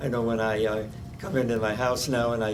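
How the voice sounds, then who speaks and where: An American-accented man talks at a moderate pace, with noticeable background noise and audible room echo. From Omaha, Nebraska. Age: 90s. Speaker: oral history interviewee. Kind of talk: oral history interview. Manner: halting, many fillers.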